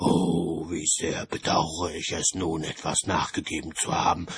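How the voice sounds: A man puts on a character voice with an extremely low pitch and a husky, rough edge. He moves at a fairly slow pace with little pitch movement.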